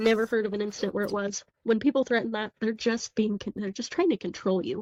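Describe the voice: Against a quiet background comes plain reading aloud with fairly even intonation.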